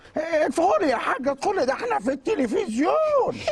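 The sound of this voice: A put-on character voice at an extremely high pitch with very wide pitch swings, moderate pace, and clear background noise.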